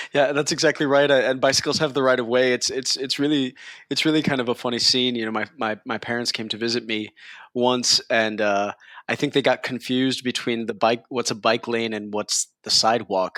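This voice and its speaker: A man's medium-pitched voice in a New York accent, bright and sharp in tone, with fairly even intonation at a fairly quick pace, on a very clean recording with a silent background and a dry, close sound with no echo. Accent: New York American. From New York, US. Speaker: tech company CEO. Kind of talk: interview. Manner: halting.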